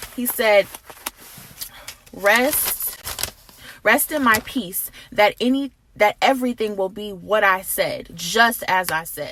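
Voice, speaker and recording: Over noticeable background noise, a woman speaks very slowly at a fairly high pitch with ordinary pitch variation and long, frequent pauses. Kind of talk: prophetic encouragement, casual talk to camera. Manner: earnest, conversational.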